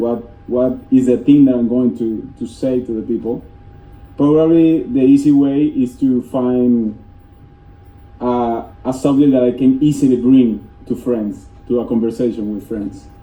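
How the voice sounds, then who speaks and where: Against audible room echo, a man with a Spanish accent talks at a fairly slow pace in a medium pitch with fairly even intonation. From Venezuela, east coast. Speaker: software developer. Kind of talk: conference talk. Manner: halting.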